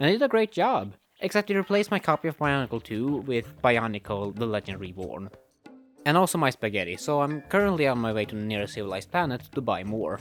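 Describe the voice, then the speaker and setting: A man at a very fast pace and medium pitch, with very wide pitch swings and music in the background. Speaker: movie reviewer. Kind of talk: comedic skit intro to camera.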